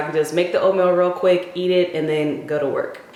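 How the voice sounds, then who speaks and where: There is audible room echo and noticeable background noise as a woman speaks quietly with an American accent. Her pitch is fairly low, with ordinary variation. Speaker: lifestyle vlogger and hair coach. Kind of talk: casual vlog. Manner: quiet, low-key.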